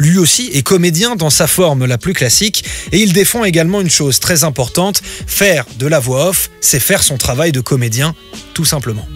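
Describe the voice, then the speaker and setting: A man talks with lively intonation at a moderate pace and a fairly high pitch, with music in the background. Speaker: radio show host. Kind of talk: radio report narration.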